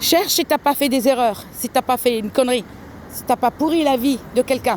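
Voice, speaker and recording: A woman speaks at a moderate pace in a high voice with ordinary pitch variation, the sound dry and close with no echo. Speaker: tarot card reader vlogger. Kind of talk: casual vlog monologue. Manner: halting, many hesitations; soft-spoken.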